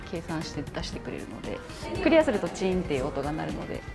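Clear music sounds in the background. Over it, a woman speaks. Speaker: trainer. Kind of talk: interview answer explaining exercises. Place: gym. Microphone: lapel.

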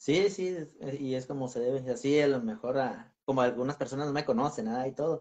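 A man's very fast, fairly high-pitched speech with ordinary pitch variation. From Michoacán, Mexico. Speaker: paranormal explorer; channel host being interviewed. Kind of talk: casual interview. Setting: video call. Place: home room. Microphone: video call.

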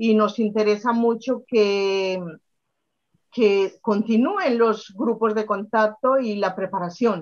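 Over a quiet background, a woman talks at a very slow pace with fairly even intonation. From Colombia, Medellín. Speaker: spiritual workshop instructor. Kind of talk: interview conversation. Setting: video call. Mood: calm, earnest storytelling. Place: home room. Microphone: webcam.

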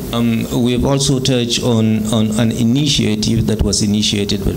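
Amid noticeable background noise, a man with a fairly low pitch talks at a moderate pace with ordinary pitch variation. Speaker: interpreter. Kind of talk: press conference. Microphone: podium.

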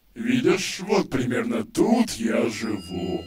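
A put-on character voice from a man, pitched high and delivered at a fairly slow pace. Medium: dub. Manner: sarcastic, sullen.

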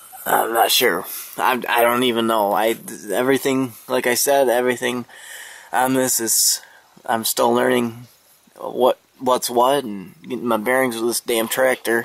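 A man's voice at a fairly slow pace, fairly even in intonation, in a dry recording with no echo. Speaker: tractor owner. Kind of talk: casual vlog chat. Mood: mildly frustrated, casual. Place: garden. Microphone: phone near.

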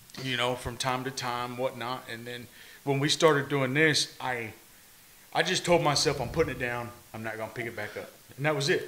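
A man speaks at a fairly quick pace in a bright, sharp tone, with fairly even intonation and big swings in loudness. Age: 30s. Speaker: podcast host. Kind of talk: casual chat. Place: empty room. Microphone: studio mic.

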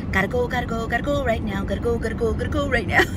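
Over loud background noise, a woman's voice comes through with a dry sound and no echo. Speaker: beauty vlogger. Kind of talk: casual vlog chat. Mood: chatty, confiding, humorous. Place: car. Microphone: phone near.

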